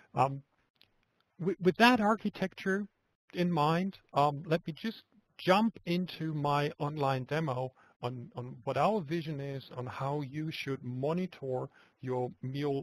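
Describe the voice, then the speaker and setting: A man talks at a fairly slow pace with a fairly high pitch and ordinary pitch variation. The sound is dry and close, with no echo. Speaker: software product presenter. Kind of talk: webinar product demo. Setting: web conference screencast. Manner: soft-spoken; halting, repeats words.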